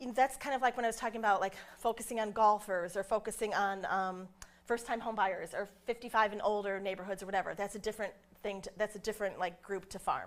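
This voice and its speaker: A woman talks at a very fast pace. Her pitch is medium and her intonation fairly even. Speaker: real estate trainer. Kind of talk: workshop presentation.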